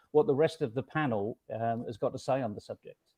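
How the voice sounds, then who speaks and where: A man with a plain, everyday voice speaks at a fairly quick pace and fairly high pitch against a quiet background. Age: 60s. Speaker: conference panelist. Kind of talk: panel discussion.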